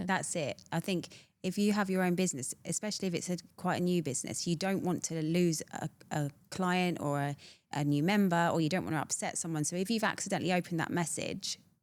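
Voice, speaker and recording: A British accent at a very fast pace, with fairly even intonation. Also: woman, fairly low pitch for a woman. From Britain. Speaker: entrepreneur, community founder. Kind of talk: podcast interview answer. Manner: honest, humorous.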